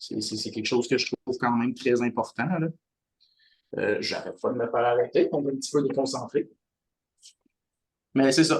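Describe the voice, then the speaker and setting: At a moderate pace, a man with a Quebec accent talks with long, frequent pauses. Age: 20s. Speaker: community life coordinator. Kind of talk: podcast introduction. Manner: halting.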